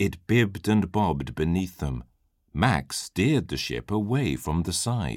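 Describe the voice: Against a quiet background, the plain reading aloud carries lively intonation.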